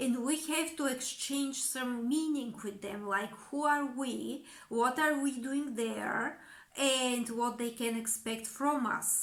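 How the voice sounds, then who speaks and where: A woman speaks with a Bulgarian accent at a fairly slow pace. Her high voice comes through with audible room echo. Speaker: communication coach. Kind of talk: educational monologue.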